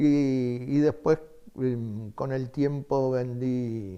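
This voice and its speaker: With a Uruguayan accent, a man speaks at a medium pitch in a dark, mellow tone and with fairly even intonation. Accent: Uruguayan Spanish (Rioplatense). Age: 80s+. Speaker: retired book salesman. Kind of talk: interview testimony. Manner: hesitant, with many fillers.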